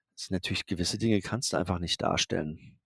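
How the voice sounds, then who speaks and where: A man's voice comes across dry and close with no echo. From Germany, Darmstadt. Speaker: photographer. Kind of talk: interview. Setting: video call.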